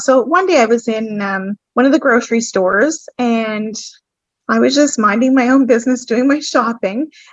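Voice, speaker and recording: In a New Brunswick accent, a woman speaks at a moderate pace. Her pitch is fairly high, with ordinary pitch variation. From New Brunswick, Canada. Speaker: podcast guest, business owner. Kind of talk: personal testimony. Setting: podcast.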